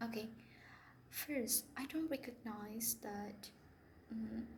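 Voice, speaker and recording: Over noticeable background noise and audible room echo, a woman speaks very slowly with a non-native accent. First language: not English. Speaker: English teacher. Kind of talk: casual vlog monologue. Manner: halting, many fillers and restarts.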